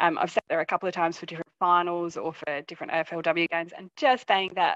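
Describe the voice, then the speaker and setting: With an Australian accent, a woman speaks at a fairly quick pace in a fairly low pitch with ordinary pitch variation. The sound is dry and close with no echo, and the background is quiet. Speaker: football fan, IT worker. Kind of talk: casual interview. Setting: video call.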